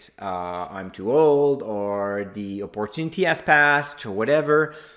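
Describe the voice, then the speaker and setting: With a French Canadian accent, a man speaks at a fairly low pitch with ordinary pitch variation. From Quebec. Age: 40s. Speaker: investor and blogger, conference speaker. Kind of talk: presentation. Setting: virtual conference.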